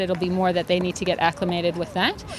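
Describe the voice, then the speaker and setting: Over noticeable background noise, a woman at a medium pitch talks at a fairly quick pace. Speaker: tennis coach. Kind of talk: interview.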